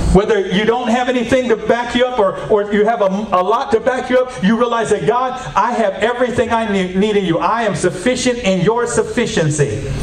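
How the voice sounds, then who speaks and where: A man with a high pitch talks in an animated tone at a fairly quick pace, with hardly any pauses, very even loudness and ordinary pitch variation. Audible room echo and light background noise surround him. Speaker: preacher. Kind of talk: sermon. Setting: church, wired with a mic for video. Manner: animated, exhorting, call-and-response with the congregation; repetitive. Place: church.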